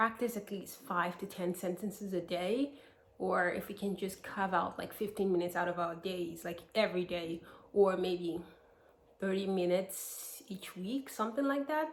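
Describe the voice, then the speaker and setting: An American accent at a moderate pace with ordinary pitch variation. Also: woman. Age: 20s. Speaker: vlogger. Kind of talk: casual vlog talk to camera.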